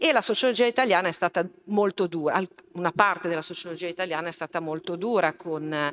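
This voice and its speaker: Over light background noise, a woman with a fairly low pitch talks at a very fast pace. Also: ordinary pitch variation. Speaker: event moderator and university lecturer. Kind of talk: public talk moderation. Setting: stage with live audience, streamed. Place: hall. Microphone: podium.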